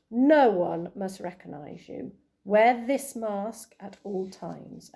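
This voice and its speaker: A woman speaks at a fairly slow pace in a put-on character voice with a medium pitch. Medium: read story.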